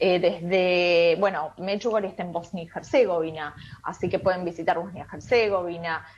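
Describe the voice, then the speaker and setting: With an Argentine accent, a woman speaks at a fairly low pitch with fairly even intonation. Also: moderate pace. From Argentina. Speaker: tour guide. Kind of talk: radio interview. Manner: hesitant, many fillers.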